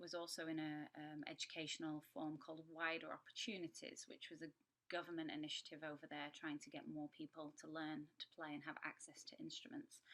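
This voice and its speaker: The voice has a Yorkshire accent and a bright, sharp tone. Its pace is fairly quick. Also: woman. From Yorkshire, northern England. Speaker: horn player and music educator. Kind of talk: masterclass talk.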